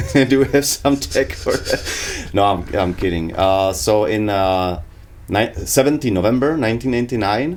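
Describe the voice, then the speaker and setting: Lively in intonation, a man with a fairly low pitch speaks at a fairly slow pace. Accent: Czech. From Prague, Czech Republic. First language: Czech. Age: 30s. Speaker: podcast co-host. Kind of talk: casual chat. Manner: halting, many fillers.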